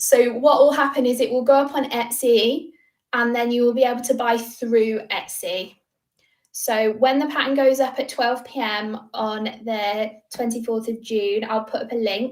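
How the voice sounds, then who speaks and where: A woman's high-pitched voice with fairly even intonation. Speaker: crochet designer and YouTuber. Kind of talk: livestream Q&A. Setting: livestream from home. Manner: fast.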